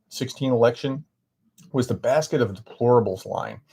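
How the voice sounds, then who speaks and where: With an American accent, a man speaks at a medium pitch and a moderate pace, somewhat breathy, in a very clean recording with a silent background. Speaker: professor. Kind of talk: live stream Q&A, reading viewer chat. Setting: live stream. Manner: halting, many fillers.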